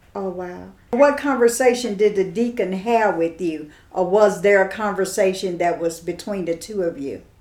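A woman's plain, everyday voice at medium pitch, with ordinary pitch variation, a moderate pace and hardly any pauses. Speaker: radio host. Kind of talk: radio show conversation.

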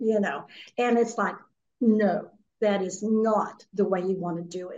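A woman with a normal speaking voice, fairly high pitch and ordinary pitch variation, at a fairly slow pace. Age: 60s. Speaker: children's author. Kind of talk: radio interview.

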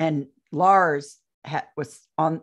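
Against a quiet background, a woman with an American accent speaks at a fairly low pitch with ordinary pitch variation. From US Midwest, central Indiana. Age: 60s. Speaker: UFO abduction experiencer and author. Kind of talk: interview testimony.

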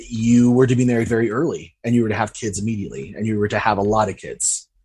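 Over a quiet background, a man with an American accent uses an unremarkable speaking voice at medium pitch with ordinary pitch variation. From US, Utah. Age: young. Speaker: filmmaker. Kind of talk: interview about personal trauma.

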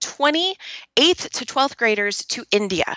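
A woman's high-pitched, animated voice with very wide pitch swings. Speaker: podcast host. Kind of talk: casual interview.

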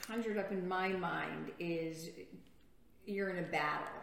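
Over noticeable background noise and audible room echo, a woman speaks at a fairly slow pace in a medium pitch with ordinary pitch variation. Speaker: retired juvenile justice worker. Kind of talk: inspirational religious talk show.

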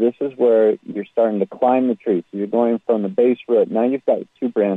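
A man with an unremarkable speaking voice talks at a medium pitch. His pace is moderate and his intonation fairly even. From Utah, US (West Jordan, Salt Lake City suburb). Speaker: genealogy teacher. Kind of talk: interview. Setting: radio show.

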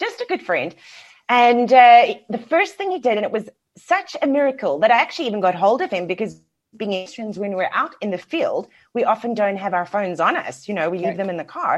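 Speaking with a South African accent, a woman moves at a fairly quick pace. Her fairly high voice rises and falls in very wide pitch swings. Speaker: business mentor and coach. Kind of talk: casual interview chat.

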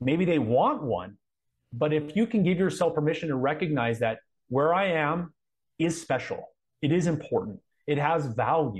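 With an American accent, the speaker sounds somewhat breathy and uses lively intonation. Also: man. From Southern California (Anaheim). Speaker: coach and combat veteran. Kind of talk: interview.

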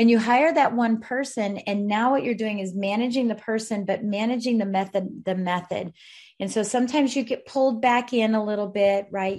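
A woman with an American accent speaks at a moderate pace, her fairly high voice somewhat breathy. The recording is very clean, with a silent background. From Colorado. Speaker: mortgage industry mentor and author. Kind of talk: interview. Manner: animated.

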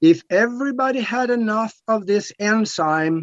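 At a fairly slow pace, a man talks with a slightly mellow tone.

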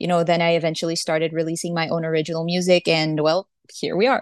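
Over a quiet background, a woman with a Portuguese accent speaks at a fairly low pitch, the sound dry and close with no echo. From Brazil. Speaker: singer-songwriter. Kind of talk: interview.

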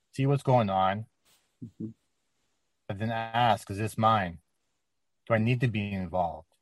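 A man talks at a fairly low pitch with ordinary pitch variation and long, frequent pauses. The sound is dry and close, with no echo. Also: fairly slow pace. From Canada. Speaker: channeler. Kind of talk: channeled message. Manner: formal.

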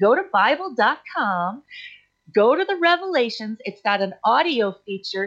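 Her pitch swinging very widely, a woman talks with an American accent. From US Midwest and Idaho. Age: 40s. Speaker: podcast host and author. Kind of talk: personal storytelling monologue.

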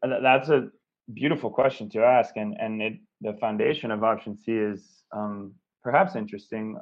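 A plain, everyday voice, moderate in pace, lively in intonation. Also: man. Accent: American. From US Pacific Northwest, Seattle. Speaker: recovery entrepreneur, recovering addict. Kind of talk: interview.

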